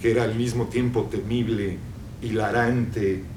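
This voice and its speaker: Fairly slow speech amid noticeable background noise and audible room echo. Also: man. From Mexico. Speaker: novelist. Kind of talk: public conversation. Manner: halting, many repetitions.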